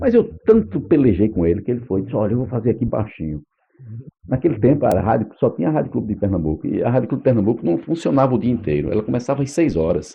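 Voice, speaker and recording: A man's very fast, medium-pitched speech with very wide pitch swings. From Northeast Brazil, Paraíba (Patos, Campina Grande). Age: 60s. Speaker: radio announcer. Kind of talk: oral history interview.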